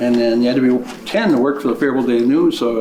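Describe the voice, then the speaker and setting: With an Upper Midwest accent, a man talks very fast at a medium pitch, amid noticeable background noise and audible room echo. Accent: Upper Midwest American. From Minnesota. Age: 60s. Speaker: county commissioner candidate. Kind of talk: candidate interview statement. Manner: halting, with many fillers.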